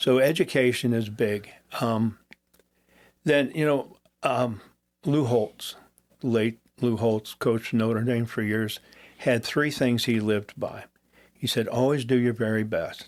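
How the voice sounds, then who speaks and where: A man with a Midwestern American accent and a medium pitch talks at a fairly slow pace with fairly even intonation and long, frequent pauses. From US Midwest. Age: 70s. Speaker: retired police chief. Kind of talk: interview. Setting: studio.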